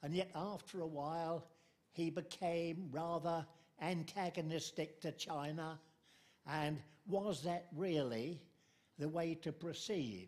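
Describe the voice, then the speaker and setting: With a British accent and a high pitch, a man speaks at a very slow pace with long, frequent pauses, fairly even intonation and very even loudness. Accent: older British English. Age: 90s. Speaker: audience member asking questions. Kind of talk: Q&A question from audience. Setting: book talk with audience.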